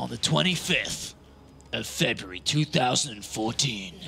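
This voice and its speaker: Over clear background noise, a man does a put-on character voice, husky and dramatic, at medium pitch with very wide pitch swings and a very slow pace. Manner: epic, dramatic.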